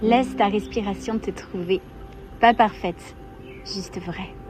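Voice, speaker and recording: A soft-spoken woman talks at a medium pitch and a very slow pace. Music plays in the background. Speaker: meditation guide. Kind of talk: guided meditation.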